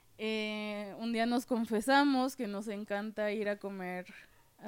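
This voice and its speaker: A woman speaks at a very slow pace with a fairly high pitch and fairly even intonation. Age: 20s. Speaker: podcast co-host, visual artist. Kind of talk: casual chat.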